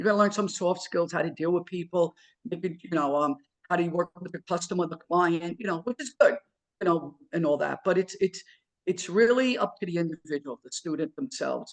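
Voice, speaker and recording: In a dry, close sound with no echo, a man with a New York accent and a high pitch talks at a fairly quick pace, with ordinary pitch variation and big swings in loudness. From New York, Queens. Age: 60s. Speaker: electrical trade school owner and instructor. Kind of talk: interview. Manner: casual, repetitive with many fillers.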